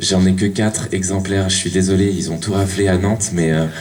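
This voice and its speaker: A man with a very deep, low pitch speaks at a moderate pace. Audible room echo and noticeable background noise come through. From western France (Cholet). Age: 30s. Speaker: lecturer, Spanish teacher. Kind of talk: public talk. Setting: conference hall with audience. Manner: halting, many fillers.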